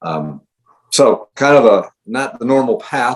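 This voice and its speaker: A man speaks with a US Midwestern accent. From Ohio. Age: 60s. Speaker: high school running coach. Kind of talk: podcast interview. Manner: hesitant, many fillers.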